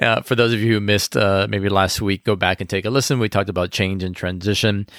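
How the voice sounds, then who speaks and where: In a very clean recording with a silent background, a man with a normal speaking voice talks with fairly even intonation and a fairly low pitch for a man. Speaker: podcast co-host.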